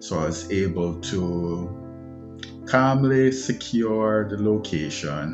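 A man is talking while clear music sounds in the background. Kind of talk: interview answer. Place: home room. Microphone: phone near.

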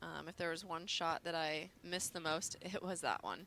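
This voice has a bright, sharp tone and some vocal fry. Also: woman. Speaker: sports commentator, former champion. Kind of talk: live sports color commentary.

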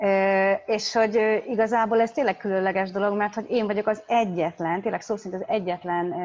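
The speaker is a woman. She keeps her intonation fairly even. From Hungary. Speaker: interpreter. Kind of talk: consecutive interpreting. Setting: video call. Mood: reflective, personal. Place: home room. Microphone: video call.

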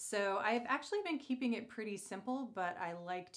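Against a quiet background, a woman talks at a moderate pace. Her pitch varies in an ordinary way. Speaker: beauty vlogger. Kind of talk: casual vlog chat. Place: bathroom. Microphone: phone near.

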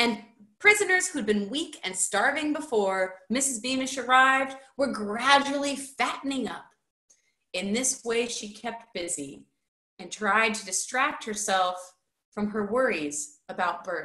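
A woman with a fairly high pitch and a bright, sharp tone speaks at a fairly slow pace, with very wide pitch swings and big swings in loudness, in a quiet background with audible room echo. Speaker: high school teacher. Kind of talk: children's book read-aloud. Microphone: webcam.

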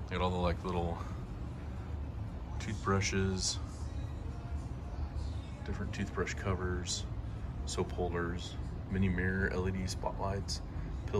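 Fairly slow speech from a man, music playing behind him. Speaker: vlogger. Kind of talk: casual vlog chat. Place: shop. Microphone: phone near.

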